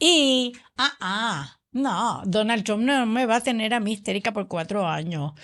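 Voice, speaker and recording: A woman with an ordinary speaking voice and a fairly high pitch speaks at a fairly slow pace with lively intonation, over a quiet background. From Puerto Rico. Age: 60s. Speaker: political podcast co-host. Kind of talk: political discussion podcast.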